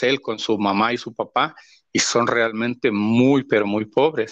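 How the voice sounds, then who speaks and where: A man speaks at a fairly slow pace and a medium pitch against a quiet background. His intonation is monotone and flat. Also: dry, close sound with no echo. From Honduras, El Paraíso department. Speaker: pastor. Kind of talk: interview testimony. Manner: halting, many repetitions.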